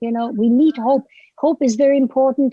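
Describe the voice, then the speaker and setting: A woman speaks in a German accent, her pitch high with ordinary variation and her tone dark and mellow. The sound is dry and close, with no echo. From Germany. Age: 70s. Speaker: author. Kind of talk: interview. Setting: podcast. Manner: halting.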